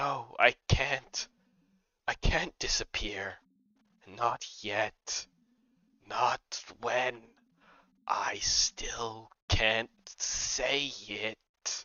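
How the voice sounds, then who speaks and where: Someone whispers in a put-on character voice at a very slow pace with long, frequent pauses. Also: man. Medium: solo performance. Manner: dramatic.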